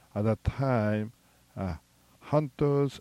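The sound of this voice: The reading voice sounds unforced. Pitch shifts an ordinary amount.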